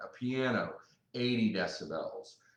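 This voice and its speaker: A man is heard with audible room echo. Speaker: hearing care specialist. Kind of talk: live seminar. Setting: live broadcast.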